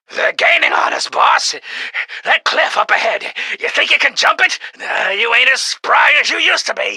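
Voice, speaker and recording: This man is doing a put-on character voice. He talks at a moderate pace. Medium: audio drama. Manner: gruff, tough-guy slang.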